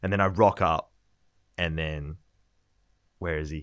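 A man with an Australian accent at a moderate pace, in a very clean, dry, close recording with no echo and a silent background. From Australia, Gold Coast. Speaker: podcast co-host, property industry intern. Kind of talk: casual chat.

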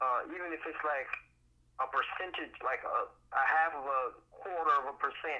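This man has an unremarkable speaking voice, fairly high in pitch, with an American accent and ordinary pitch variation. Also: moderate pace. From Miami, Florida (Miami Gardens). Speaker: actor, playwright and drama therapist. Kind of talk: casual interview.

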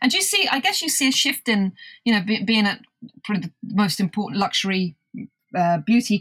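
A somewhat breathy voice with a British accent at a moderate pace, ordinary pitch variation, and a dry, close sound with no echo. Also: woman. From UK. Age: 50s. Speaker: podcast host and magazine founder. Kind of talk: interview.

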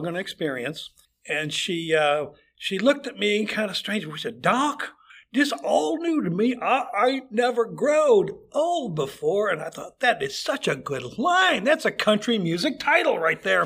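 Here is a man with an American accent. His pitch swings very widely. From Chicago area, US Midwest. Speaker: retired foot doctor, amateur improv actor. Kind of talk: casual interview.

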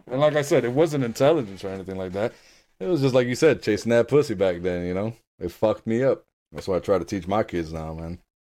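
Speech rushes at a very fast pace, with lively intonation and big swings in loudness. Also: man. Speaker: podcast co-host. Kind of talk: casual chat. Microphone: new Blue Yeti microphone.

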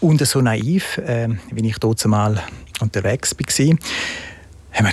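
A man at medium pitch with ordinary pitch variation, against noticeable background noise. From Switzerland, partly raised in Italy. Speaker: entrepreneur, shoe company founder. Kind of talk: interview.

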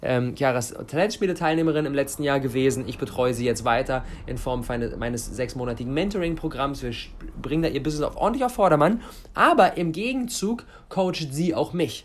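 A man with a fairly high pitch sounds animated. He speaks at a fairly quick pace with lively intonation. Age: 20s. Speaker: podcast host and mentor. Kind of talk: solo podcast monologue.

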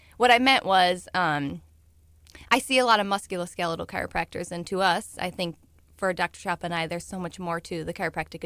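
In a very clean recording with a silent background, a woman with an American accent and an ordinary speaking voice talks at a fairly quick pace with a fairly low pitch. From US Midwest, St. Louis, Missouri. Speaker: chiropractor. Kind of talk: radio interview.

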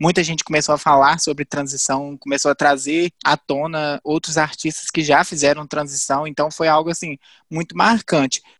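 On a very clean recording with a silent background, a man with a fairly high voice and an ordinary speaking voice talks at a moderate pace. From Viçosa, Minas Gerais, Brazil. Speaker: geography student. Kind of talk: casual chat.

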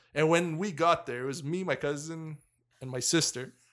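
A man speaks at a moderate pace in a plain, everyday voice, pitched fairly high. His intonation stays fairly even, and the recording is very clean with a silent background. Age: 30s. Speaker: hockey podcast co-host. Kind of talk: casual chat. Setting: around a table with mics.

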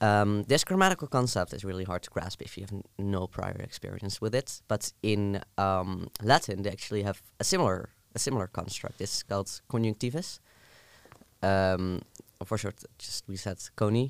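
The speaker has a Dutch accent. The loudness swings widely. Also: man, fairly low pitch for a man, ordinary pitch variation, moderate pace. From southern Netherlands. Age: 20s. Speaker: university student. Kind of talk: casual chat.

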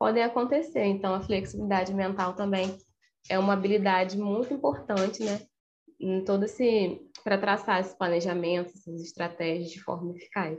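At a moderate pace and medium pitch, a woman with an unremarkable speaking voice talks with ordinary pitch variation. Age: 20s. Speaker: psychologist. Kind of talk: podcast interview.

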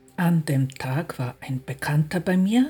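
A woman's somewhat breathy voice with a very deep, low pitch, a dark, mellow tone and lively intonation. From outside Austria. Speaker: podcast host and personal development coach. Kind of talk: scripted monologue.

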